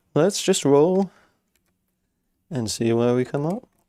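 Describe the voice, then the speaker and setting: A man mumbles with a dark, mellow tone. His pitch is fairly high and his intonation lively. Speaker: LEGO builder streamer. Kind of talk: live stream chat while building. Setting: workshop. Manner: fast; occasionally mumbling.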